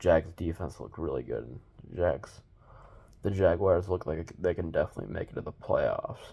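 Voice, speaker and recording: Soft-spoken, a man talks at a fairly slow pace. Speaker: sports video host. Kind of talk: casual sports predictions monologue. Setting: at home. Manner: quiet, talking softly.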